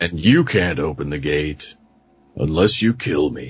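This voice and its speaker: A man in a put-on character voice drops to a very deep, low pitch and talks fairly slowly. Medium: actual play.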